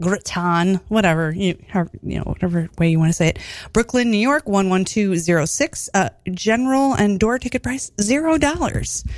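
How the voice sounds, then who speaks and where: Here a woman has an ordinary speaking voice at medium pitch. Her intonation is lively and her pace moderate. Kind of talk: radio DJ patter, casual studio interview banter. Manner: chatty, warm, upbeat, with filler words and laughter.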